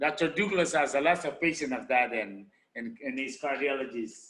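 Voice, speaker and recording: Someone with a Spanish accent speaks at a moderate pace with ordinary pitch variation. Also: man. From Honduras, Garifuna community. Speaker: medical doctor. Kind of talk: presentation. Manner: halting.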